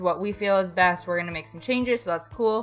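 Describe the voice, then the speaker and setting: Over music in the background, a woman talks in an upbeat, excited tone at medium pitch. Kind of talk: casual gaming commentary to camera.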